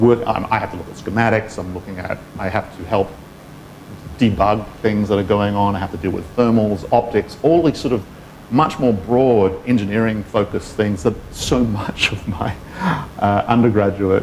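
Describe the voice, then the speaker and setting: The speaker has an Australian accent and talks at a moderate pace with ordinary pitch variation. Noticeable background noise can be heard. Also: man. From Western Australia, Perth. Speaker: engineer. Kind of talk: talk with interview.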